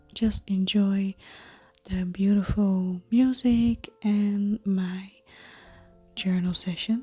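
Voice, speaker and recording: The speech moves at a very slow pace with long, frequent pauses. Music plays in the background. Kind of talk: ASMR craft tutorial talk. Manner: soft-spoken, whispered.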